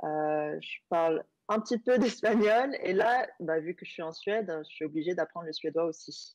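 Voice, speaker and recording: A woman speaks at a fairly slow pace with a Korean accent. Her loudness swings widely. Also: medium pitch for a woman, lively intonation. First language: Korean (speaking French). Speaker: app user, traveller. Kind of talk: TV interview. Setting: video call.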